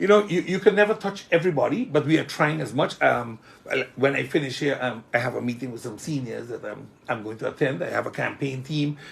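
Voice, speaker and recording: The speaker moves at a fairly quick pace with lively intonation and vocal fry. Loudness swings widely. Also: man, fairly high pitch for a man. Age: 60s. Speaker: politician. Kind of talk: interview.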